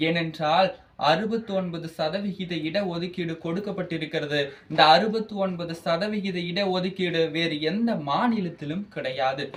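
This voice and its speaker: A man talks in a high voice while noticeable background noise is heard. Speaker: college student speaker. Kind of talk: speech. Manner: animated, oratorical.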